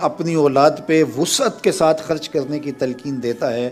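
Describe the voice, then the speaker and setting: With music in the background, a man talks in a fairly high voice with ordinary pitch variation. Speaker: Islamic preacher. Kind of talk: Islamic sermon.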